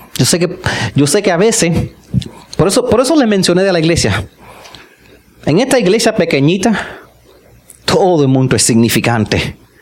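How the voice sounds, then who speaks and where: A high-pitched man talks fairly quickly yet leaves long, frequent pauses, over noticeable background noise. His pitch swings very widely while his loudness stays very even. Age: 50s. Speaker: pastor. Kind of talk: sermon. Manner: animated.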